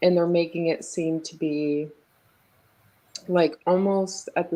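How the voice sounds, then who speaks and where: A woman's very deep, low voice, dark and mellow, with fairly even intonation at a very slow pace. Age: 30s. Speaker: caller on live chat show. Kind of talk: casual debate.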